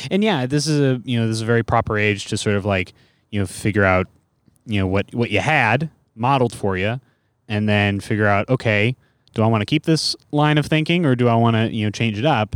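An unremarkable speaking voice with an American accent, fairly quick in pace, ordinary pitch variation and very even loudness, in a dry, close sound with no echo on a very clean recording with a silent background. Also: man, medium pitch for a man. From US West Coast, San Francisco Bay Area. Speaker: stand-up comedian. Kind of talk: casual chat.

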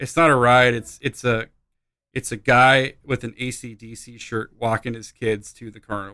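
A man speaks with a medium pitch and a bright, sharp tone. The recording is very clean, with a silent background. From Alaska. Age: 30s. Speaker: musician. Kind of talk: casual chat.

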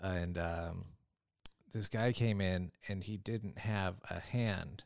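A man with a fairly low pitch and ordinary pitch variation has an ordinary speaking voice. The recording is very clean, with a silent background. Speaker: stand-up comedian. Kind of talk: casual chat.

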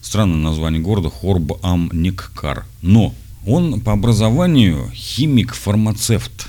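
With audible room echo, a man with a very deep, low pitch talks at a very slow pace, making very wide pitch swings. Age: 40s. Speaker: podcaster addressing his son. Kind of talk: audio letter to his son, reading and explaining.

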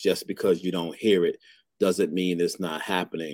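A man with a New York accent talks in a very deep, low voice, the sound dry and close with no echo. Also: very clean recording, silent background. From Brooklyn, New York. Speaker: fatherhood advocate and author. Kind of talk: interview conversation.

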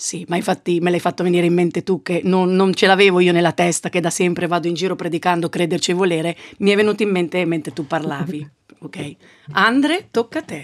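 Speaking at a very fast pace, a woman uses a fairly low pitch and fairly even intonation. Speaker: podcast host, journalist. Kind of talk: casual chat.

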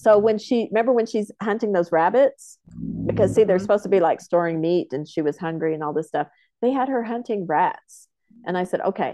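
Here is a woman with an American accent and an ordinary speaking voice at medium pitch. She talks at a fairly quick pace with lively intonation. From Oklahoma, Comanche homelands near Lawton. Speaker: film producer. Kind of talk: casual interview.

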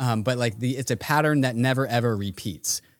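At a fairly quick pace, a man talks in a medium pitch with an ordinary speaking voice. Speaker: podcast co-host. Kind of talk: casual chat.

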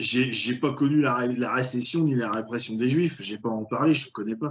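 A man's plain, everyday voice at medium pitch, fairly slow in pace, with ordinary pitch variation. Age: 30s. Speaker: film podcast host. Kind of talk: casual chat.

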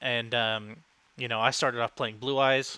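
A man in an ordinary speaking voice talks fairly quickly at a medium pitch. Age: 20s. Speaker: card game podcast co-host. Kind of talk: casual chat.

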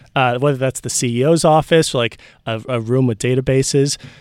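A man in an unremarkable speaking voice, medium in pitch, at a moderate pace with ordinary pitch variation and a dry, close sound with no echo. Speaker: podcast producer. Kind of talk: casual chat.

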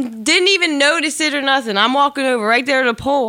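A woman's raised, projected voice, high-pitched with a bright, sharp tone and ordinary pitch variation. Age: 30s. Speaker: painter. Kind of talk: casual chat. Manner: halting.

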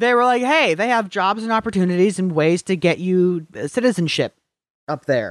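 On a very clean, dry, close recording with no echo and a silent background, a man with an American accent speaks at a moderate pace in a high pitch with lively intonation. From Upper Peninsula of Michigan (Marquette). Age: 20s. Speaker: podcast co-host. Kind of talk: casual chat.

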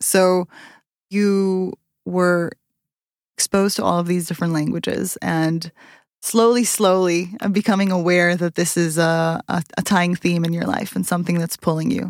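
Recorded very cleanly with a silent background and a dry, close sound with no echo, a woman with a normal speaking voice and a fairly low pitch talks at a moderate pace. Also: fairly even intonation. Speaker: podcast host. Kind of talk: interview conversation.

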